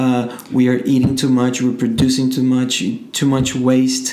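Someone speaks at a fairly slow pace. Noticeable background noise is present. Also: man. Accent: Portuguese. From Brazil, Rio de Janeiro. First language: Portuguese. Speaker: entrepreneur. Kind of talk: casual interview.

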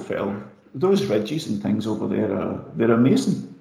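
A man speaks with a Scottish accent. His pace is fairly slow. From Scotland. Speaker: trail runner and running coach. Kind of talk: casual interview chat. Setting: remote call.

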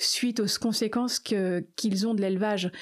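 A woman speaks at a fairly slow pace in a medium-pitched voice with monotone, flat intonation. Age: 50s. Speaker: animal sanctuary founder. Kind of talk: interview.

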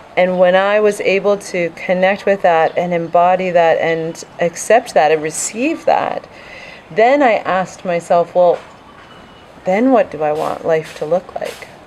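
A woman at a medium pitch, fairly slow in pace, with ordinary pitch variation and noticeable background noise. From Vancouver, Canada. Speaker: intuitive coach. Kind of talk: casual interview.

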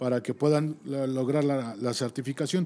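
A man with a normal speaking voice talks at a moderate pace and a fairly high pitch. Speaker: rescue service deputy director. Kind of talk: casual chat.

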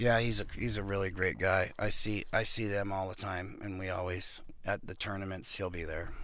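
Amid audible room echo, a man with a fairly low pitch talks in a monotone, flat intonation at a moderate pace with hardly any pauses. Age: 50s. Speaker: professional arm wrestler. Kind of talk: casual chat. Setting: studio.

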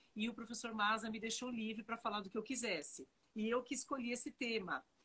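A woman's high-pitched voice comes through at a fairly quick pace. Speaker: tax law professor. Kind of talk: interview on tax law. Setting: joined via Instagram live.

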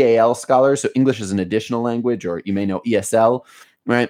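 With an American accent, a man speaks in an ordinary speaking voice at a medium pitch, with ordinary pitch variation. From US, Baltimore. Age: 30s. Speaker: education company founder. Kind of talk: interview. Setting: video call.

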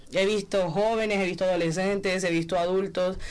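A woman with a Colombian Caribbean accent, medium pitch, moderate pace and fairly even intonation. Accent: Colombian Caribbean coastal Spanish. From Barranquilla, Colombian Caribbean coast. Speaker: master's student, journalist. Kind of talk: radio panel discussion.

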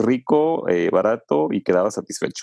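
A man's dark, mellow voice at a moderate pace, with a dry, close sound and no echo. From Mexico, Puebla state. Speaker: travel podcast host. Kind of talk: casual interview.

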